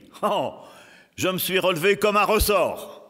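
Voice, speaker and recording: Very slowly, a man talks in a very clean recording with a silent background. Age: 80s+. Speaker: preacher. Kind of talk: sermon.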